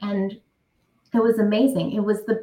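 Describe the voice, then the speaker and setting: A woman speaks in a fairly high pitch with an American accent. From New York City (Brooklyn). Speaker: career coach. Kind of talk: interview.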